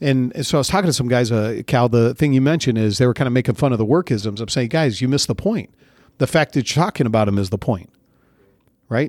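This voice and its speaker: A man's very fast, medium-pitched speech with an American accent and ordinary pitch variation, dry and close with no echo, on a very clean recording with a silent background. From Central California. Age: 40s. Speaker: army officer. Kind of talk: interview.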